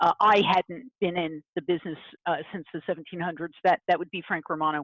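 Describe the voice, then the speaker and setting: A woman with an unremarkable speaking voice talks at a fairly quick pace with fairly low pitch and fairly even intonation, the sound dry and close with no echo. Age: 60s. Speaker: print industry consultant and writer. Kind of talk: interview on a video call webinar. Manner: frequent fillers, uh and um.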